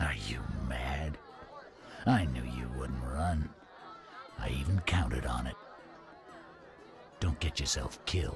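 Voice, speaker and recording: Clear music plays behind a man doing a put-on character voice. He talks at a fairly slow pace. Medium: short film.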